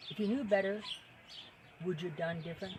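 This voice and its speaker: Someone speaks at a fairly quick pace with noticeable background noise. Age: 70s. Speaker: storyteller, former carnival worker. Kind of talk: casual storytelling monologue. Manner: halting, with frequent fillers.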